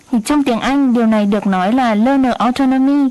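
Delivered at a fairly slow pace with ordinary pitch variation, the speech sits over noticeable background noise. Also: woman. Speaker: radio co-host and interpreter. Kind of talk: interpreting and informational radio talk.

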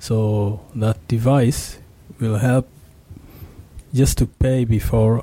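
A man's somewhat breathy voice has a dark, mellow tone and medium pitch. He speaks at a very slow pace with fairly even intonation. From Rwanda. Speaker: master's student in IT. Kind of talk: radio interview.

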